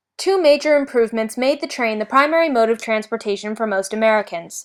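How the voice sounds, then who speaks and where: A woman speaks in an unremarkable speaking voice, fairly high in pitch, with ordinary pitch variation and a fairly quick pace. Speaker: student. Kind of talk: school history report narration.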